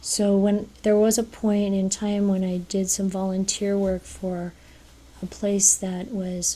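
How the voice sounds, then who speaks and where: A woman speaks at a very slow pace in a medium pitch, with an American accent. Her tone is dark and mellow, somewhat breathy, and her intonation stays monotone and flat. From United States. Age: 60s. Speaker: speaker at a Buddhist women's event. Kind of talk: talk. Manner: halting.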